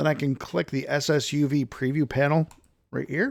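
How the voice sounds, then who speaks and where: The recording is very clean, with a silent background. It carries an unremarkable speaking voice at a fairly quick pace. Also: man. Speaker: software tool developer demonstrating product. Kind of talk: tutorial.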